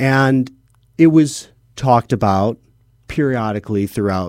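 The recording is very clean, with a silent background. A man with an American accent speaks with lively intonation. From Chicago area. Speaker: documentary filmmaker. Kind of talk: interview. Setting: radio studio. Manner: energetic.

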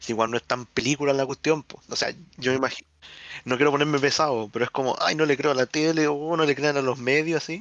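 A man with a Chilean accent speaks very fast at a fairly high pitch. His intonation stays fairly even, in a dry, close sound with no echo. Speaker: podcast host. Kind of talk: casual chat.

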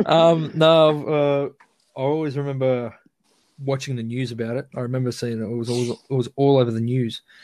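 Moderate speed, with intonation that stays fairly even. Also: man, medium pitch for a man. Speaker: fan interviewee. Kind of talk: casual interview chat.

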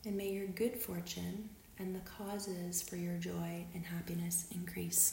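The voice has a calm, soothing tone and moves at a fairly slow pace. Noticeable background noise runs underneath. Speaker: guided meditation leader. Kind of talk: guided meditation, read aloud from a script. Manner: slow, calm and soothing, with long pauses between phrases; gentle, warm and unhurried, reading in a measured way.

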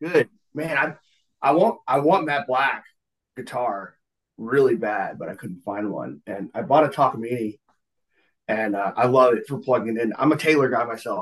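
This voice has a Southern US accent and moves at a moderate pace. The intonation is lively, with big swings in loudness. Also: man, medium pitch for a man. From US South, Georgia outskirts of Atlanta and Florida. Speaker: singer-songwriter, Navy veteran. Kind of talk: casual chat.

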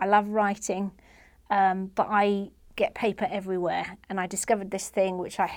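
In an English accent, a woman speaks at a moderate pace and medium pitch with monotone, flat intonation on a very clean recording with a silent background. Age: 40s. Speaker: comedian. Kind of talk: interview. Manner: halting.

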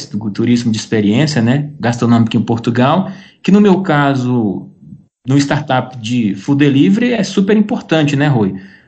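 Lively intonation runs through a man's moderately paced speech. There is a somewhat breathy quality to it. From Brazil. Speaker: entrepreneur. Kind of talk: interview.

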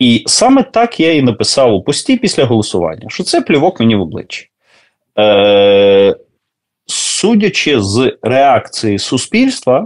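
Against a quiet background, a man talks at a medium pitch and fairly slow pace. His voice swings very widely in pitch. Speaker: soldier, former pediatrician and lecturer. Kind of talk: interview. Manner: hesitant, with filler sounds.

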